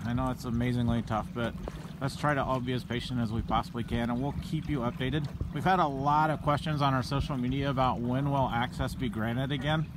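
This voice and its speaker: The speech is dry with no echo and moves at a fairly quick pace. Background noise is noticeable. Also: man. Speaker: police officer hosting a livestream. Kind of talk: live commentary answering viewer questions. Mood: calm, reassuring. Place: boat. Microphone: phone near.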